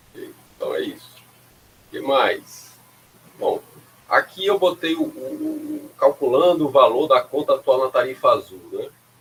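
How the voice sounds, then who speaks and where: Pausing long and often, a man speaks at a fairly slow pace with big swings in loudness over noticeable background noise. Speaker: university lecturer. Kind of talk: lecture.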